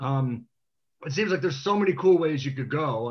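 A man's somewhat breathy voice, fairly high in pitch, with ordinary pitch variation and an American accent. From Washington DC. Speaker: TV producer and team fan. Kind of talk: casual panel chat.

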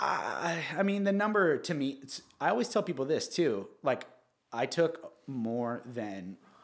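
A man in a Southern California accent speaks at a moderate pace, his pitch swinging very widely. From Orange County, California. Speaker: real estate agent. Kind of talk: casual interview.

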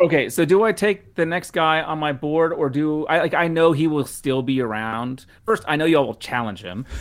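Speech comes at a moderate pace with lively intonation and hardly any pauses. The recording is very clean, the background silent. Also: man, fairly high pitch for a man. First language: not English. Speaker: football analyst. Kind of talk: casual chat.

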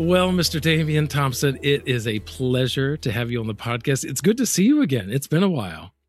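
Somewhat breathy, a man with an American accent talks at a fairly quick pace and fairly high pitch, with very wide pitch swings. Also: very clean recording, silent background. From US South. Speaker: podcast host. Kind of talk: casual interview.

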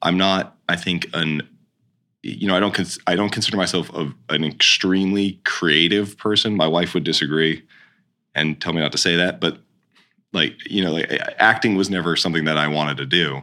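A man's very deep, low voice with a bright, sharp tone, fairly even intonation and a moderate pace. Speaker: stage manager. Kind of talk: casual interview chat.

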